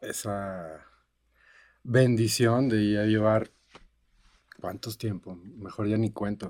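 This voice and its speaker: A man speaks very slowly at a fairly low pitch with fairly even intonation. The recording is very clean, with a silent background. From Mexico, Cancún. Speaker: music producer and mixing engineer. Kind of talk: interview. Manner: halting, repeats words.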